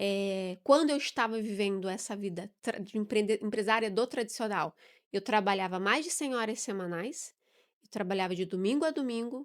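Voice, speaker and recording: Over a silent background on a very clean recording, a woman with an unremarkable speaking voice talks at a moderate pace, her fairly high pitch showing ordinary variation. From southern Brazil, Curitiba. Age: 40s. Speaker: business mentor and entrepreneur. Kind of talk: podcast interview.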